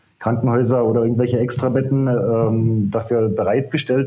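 A man speaks at a medium pitch in a flat, monotone way, with noticeable noise behind him. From eastern Germany, between Dresden and Cottbus; moved to Bavaria at 16. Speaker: long-term traveller with his cat. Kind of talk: casual interview.

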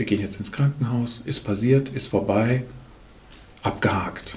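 A medium-pitched man, fairly slow in pace, with fairly even intonation. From Germany, Lahnstein near Koblenz. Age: 50s. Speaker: management consultant and couples therapist. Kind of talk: podcast interview.

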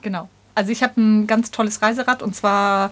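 This woman's voice sits at a medium pitch. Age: 40s. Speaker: long-distance cyclist and vegan activist. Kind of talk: casual interview. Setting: home studio.

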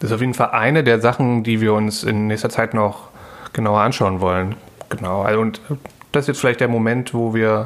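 A man with a medium pitch keeps a moderate pace and fairly even intonation while noticeable background noise sounds around him. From East Berlin, Germany. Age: 30s. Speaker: podcast co-host. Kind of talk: casual chat. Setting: home kitchen.

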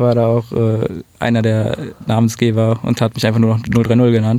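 Monotone and flat in intonation, a man speaks at medium pitch and a moderate pace with a dark, mellow tone. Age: 20s. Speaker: photographer. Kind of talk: casual chat. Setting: studio.

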